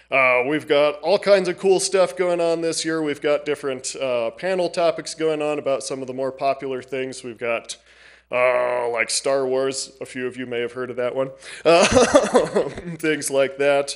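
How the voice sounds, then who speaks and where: The background stays quiet while a man talks with ordinary pitch variation. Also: moderate pace. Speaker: library staff presenting to council. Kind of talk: public presentation. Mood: friendly, slightly nervous. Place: hall. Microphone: podium.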